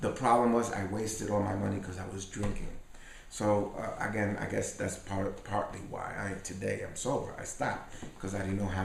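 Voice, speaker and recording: At a fairly quick pace, the speech comes through noticeable background noise and audible room echo. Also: man. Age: 60s. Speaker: salsa pianist and bandleader. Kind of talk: interview. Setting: at his home.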